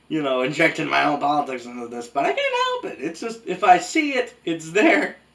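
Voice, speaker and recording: The speaker is a man talking at a moderate pace. Noticeable background noise is present. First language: Spanish. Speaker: anime reviewer. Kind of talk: video essay review. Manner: casual conversational.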